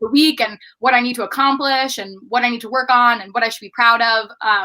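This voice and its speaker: Fairly quick and fairly high, a woman with an American accent has a bright, sharp tone, fairly even intonation and big swings in loudness. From US, Baltimore, Maryland. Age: 20s. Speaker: podcast producer and outreach program head. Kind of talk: interview conversation.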